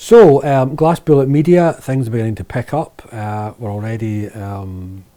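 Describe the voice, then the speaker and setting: The voice has a dark, mellow tone and a Lanarkshire accent. It moves at a moderate pace with ordinary pitch variation. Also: man. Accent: Lanarkshire Scottish. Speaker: video producer and author. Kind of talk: casual vlog monologue. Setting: office shed. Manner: hesitant with fillers.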